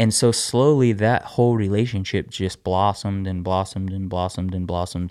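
A man with a normal speaking voice talks at a fairly quick pace. His pitch sits fairly low. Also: fairly even intonation, quiet background. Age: 30s. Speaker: podcast co-host, husband. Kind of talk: casual chat.

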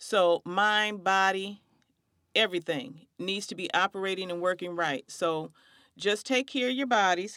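A woman's medium-pitched voice with ordinary pitch variation and a moderate pace, dry and close with no echo, on a very clean recording against a silent background. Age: 50s. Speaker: podcast host, community outreach consultant. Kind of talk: faith-based conversation.

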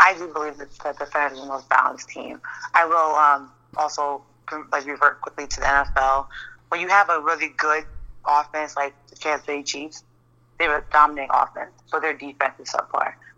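A woman's very deep, low voice with an American accent, bright and sharp in tone, monotone and flat, at a fairly quick pace with big swings in loudness. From New York. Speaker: football fan guest. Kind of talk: casual sports chat.

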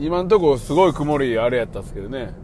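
A man speaks at a moderate pace with a fairly high pitch. The room echo is audible. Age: 40s. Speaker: podcast host. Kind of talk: casual monologue. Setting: in a car.

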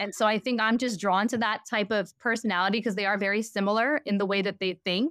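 Heard on a very clean recording with a silent background, a woman uses an ordinary speaking voice at medium pitch with ordinary pitch variation. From New York. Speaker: fashion brand founder. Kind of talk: interview conversation.

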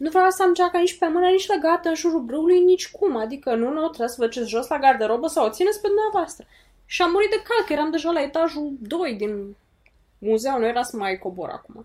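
A woman talks at a very fast pace in an extremely high pitch with very wide pitch swings. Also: very clean recording, silent background. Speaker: podcast co-host. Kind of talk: casual chat.

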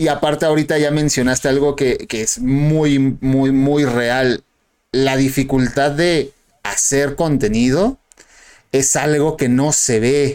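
A man's fairly high voice at a very slow pace, with fairly even intonation and very even loudness. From Mexico. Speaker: podcast host. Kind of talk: casual chat.

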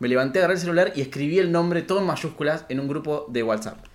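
A man speaks in an animated tone with a fairly high pitch. His intonation is lively. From Argentina, Rafaela (Santa Fe). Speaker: podcast co-host. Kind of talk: casual chat.

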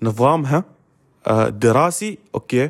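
A man's medium-pitched voice with ordinary pitch variation, on a very clean recording against a silent background. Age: 20s. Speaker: university student and podcaster. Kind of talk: casual solo podcast monologue. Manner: halting, many fillers.

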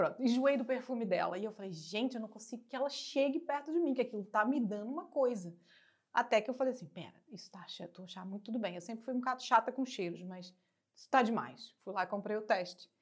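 Talking at a very fast pace, a woman with a fairly high pitch shows lively intonation and big swings in loudness. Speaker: actress and TV presenter. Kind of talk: casual interview. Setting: studio.

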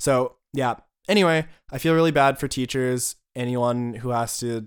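Over a silent background on a very clean recording, a man speaks in an American accent. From rural United States. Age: 20s. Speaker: podcast co-host. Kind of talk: casual chat.

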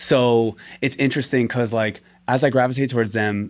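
A man with an American accent at medium pitch, fairly quick and fairly even in intonation, on a very clean recording with a silent background. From Staten Island, New York. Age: 30s. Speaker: physician assistant and shuffle dancer. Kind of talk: casual interview.

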